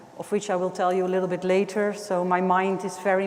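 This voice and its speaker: There is audible room echo and noticeable background noise as a woman with a medium pitch speaks at a fairly quick pace. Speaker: artist. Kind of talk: lecture. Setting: gallery classroom with microphone.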